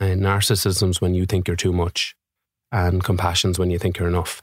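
Here a man with an Irish accent talks at a moderate pace with a very deep, low pitch. The recording is very clean with a silent background, and the sound is dry and close with no echo. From Ireland. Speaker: musician and mental health advocate. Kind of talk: interview. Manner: animated.

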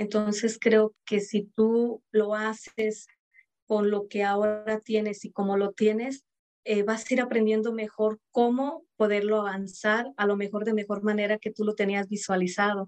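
Fairly high in pitch, a woman speaks at a fairly slow pace with monotone, flat intonation. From Mexico. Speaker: entrepreneur. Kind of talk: interview.

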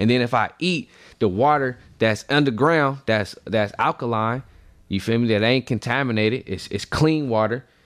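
A man with a medium pitch talks at a moderate pace and ordinary pitch variation, captured in a very clean recording against a silent background. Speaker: actor, writer and poet. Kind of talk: casual interview.

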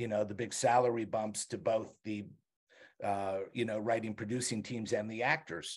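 A man with an ordinary speaking voice talks at a moderate pace with ordinary pitch variation. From Montreal, Canada. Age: 60s. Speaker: TV writer and showrunner. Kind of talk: casual interview.

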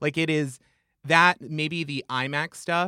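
Fairly high and bright with a sharp tone, a man's voice moves with fairly even intonation in a very clean, silent, dry recording with no echo. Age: 20s. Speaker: podcast co-host. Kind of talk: casual chat.

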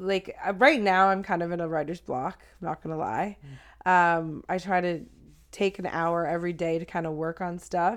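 Here is an unremarkable speaking voice in a Canadian accent. The recording is very clean, with a silent background. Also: woman. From Ontario, Canada (Blue Mountain). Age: 30s. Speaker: rapper. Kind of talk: casual chat.

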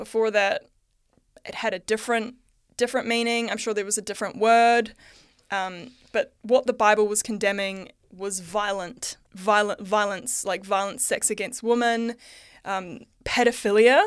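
A woman speaks at a moderate pace with fairly even intonation in a very clean recording with a silent background. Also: fairly high pitch for a woman. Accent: New Zealand. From New Zealand. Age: 30s. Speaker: artist and podcaster. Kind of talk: interview conversation.

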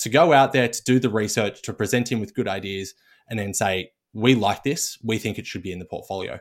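This man speaks with an Australian accent. The recording is very clean, with a silent background. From Australia, Melbourne. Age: 20s. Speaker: portfolio manager. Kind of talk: casual chat. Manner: halting, frequent repetitions.

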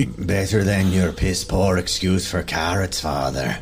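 A man's husky, put-on character voice at a fairly slow pace, with clear background noise. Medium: actual play. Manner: terse, one-note, gruff.

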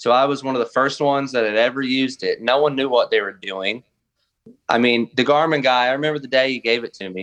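Delivered at a very fast pace, the speech carries a Southern US accent and fairly even intonation. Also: man, medium pitch for a man. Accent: US South. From southern Arkansas. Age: 30s. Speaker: bass and crappie angler. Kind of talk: casual chat.

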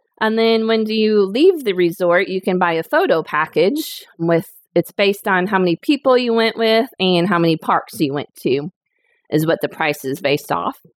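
A woman's normal speaking voice in an American accent, medium-pitched, at a moderate pace with lively intonation, in a very clean recording with a silent background and a dry, close sound with no echo. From Northwest Indiana. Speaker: travel agent. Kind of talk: casual interview chat.

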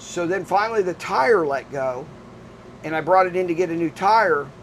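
Noticeable background noise behind a man's high-pitched speech. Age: 60s. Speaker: restaurant owner and amateur racing driver. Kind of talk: casual interview. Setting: in an RV at a race track.

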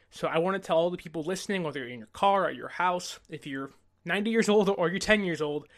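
Against a quiet background, a man speaks at a very fast pace with a high pitch. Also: big swings in loudness. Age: 20s. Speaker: sports podcast host. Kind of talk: solo podcast commentary. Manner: animated.

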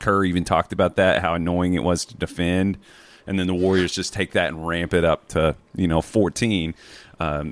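Dry and close with no echo, this very clean recording with a silent background has a speaker with a Southern US accent going at a fairly quick pace with fairly even intonation. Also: man. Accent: Southern American. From rural US South. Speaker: basketball analyst. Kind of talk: casual chat.

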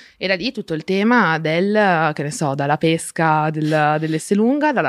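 Recorded very cleanly against a silent background, a woman with a fairly low pitch speaks in a dry, close sound with no echo. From Friuli, north-east Italy. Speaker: advertising strategist, activist. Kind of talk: casual interview chat.

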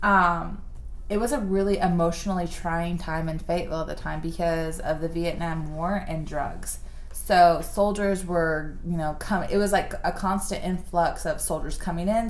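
A woman's fairly low-pitched voice, an ordinary speaking voice, at a moderate pace with fairly even intonation. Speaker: podcast host. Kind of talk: casual chat.

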